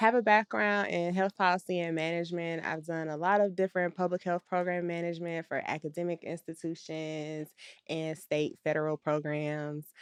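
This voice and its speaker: In a plain, everyday voice, the speaker talks at a moderate pace with fairly even intonation and hardly any pauses, the sound dry and close with no echo over a quiet background. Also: woman, fairly low pitch for a woman. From Atlanta, Georgia, US South. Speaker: podcast co-host, public health manager. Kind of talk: casual chat.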